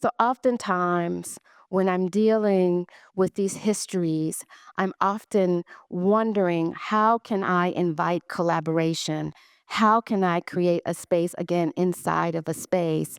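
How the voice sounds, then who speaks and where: A woman at a fairly slow pace with fairly even intonation, in dry, close sound with no echo. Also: fairly low pitch for a woman, very clean recording, silent background. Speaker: artist. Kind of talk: conference talk. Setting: stage with audience. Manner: halting.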